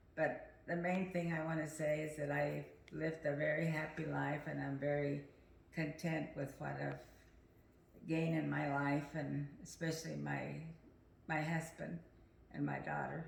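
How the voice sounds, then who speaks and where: A woman at a moderate pace with long, frequent pauses, in audible room echo. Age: 80s+. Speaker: family elder sharing memories. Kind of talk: family reminiscing interview. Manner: halting, hesitant.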